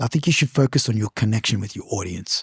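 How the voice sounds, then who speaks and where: A man talks very fast in an animated, somewhat breathy voice, his pitch swinging very widely. The sound is dry and close, with no echo. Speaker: podcast host and singer. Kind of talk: casual chat.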